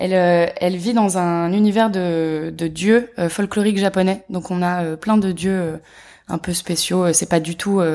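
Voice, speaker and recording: A woman speaks at a very slow pace in a medium pitch, her tone dark and mellow and her intonation fairly even, on a very clean recording with a silent background. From Paris, France. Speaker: animation production manager. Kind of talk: interview. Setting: at a film festival.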